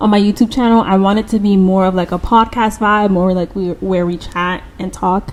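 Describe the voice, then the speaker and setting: Speaking at a fairly quick pace, a woman talks. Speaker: YouTuber starting a podcast. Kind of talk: casual chat to camera. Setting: home podcast-style setup. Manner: stumbling, restarts words.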